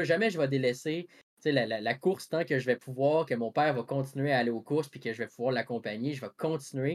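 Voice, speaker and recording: Lively intonation carries this speech in a Quebec accent. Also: man. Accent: Québécois French. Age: 20s. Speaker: podcast host. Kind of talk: casual chat.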